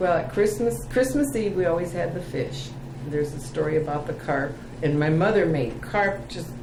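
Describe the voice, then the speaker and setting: A woman with an Upper Midwest accent talks at a moderate pace, her very deep, low voice carrying lively intonation. Noticeable background noise and audible room echo fill the recording. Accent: Upper Midwest American. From Cedar Rapids, Iowa, US Midwest (Czech community). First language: Czech. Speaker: oral history interviewee. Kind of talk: oral history interview.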